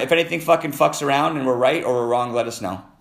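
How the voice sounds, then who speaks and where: Vocal fry marks the very fast speech of a man. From Canada. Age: 50s. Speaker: podcast host taking live callers. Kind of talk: casual live call-in chat. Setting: live stream on TikTok and Instagram.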